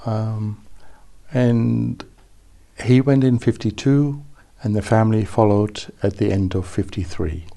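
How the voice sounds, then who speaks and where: A man's dark, mellow voice at fairly low pitch, with ordinary pitch variation and long, frequent pauses. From Netherlands, raised in Brisbane, Australia from age ten. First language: Dutch. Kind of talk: interview. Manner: hesitant, with fillers and restarts.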